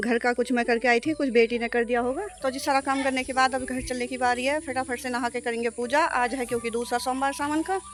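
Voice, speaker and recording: A woman with a high pitch and fairly even intonation speaks at a moderate pace over noticeable background noise. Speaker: vlogger, housewife. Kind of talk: vlog narration. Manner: casual.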